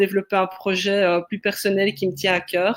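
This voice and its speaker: A woman's medium-pitched voice with a slight Belgian accent and monotone, flat intonation. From Belgium, Liège. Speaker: sociologist and creativity facilitator. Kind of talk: webinar discussion.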